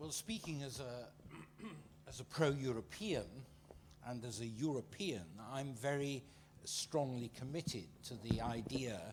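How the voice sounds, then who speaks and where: A man with a British accent, medium pitch, lively intonation and big swings in loudness. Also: fairly slow pace. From Britain. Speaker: panelist. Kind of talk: panel discussion. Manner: halting, many fillers.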